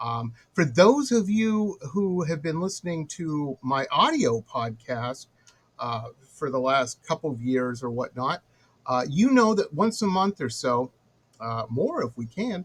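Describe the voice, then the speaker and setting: Breathing somewhat audibly into his words, a man talks at a fairly slow pace. His fairly high voice moves in very wide pitch swings. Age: 50s. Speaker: talk show host and pop art painter. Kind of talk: interview podcast.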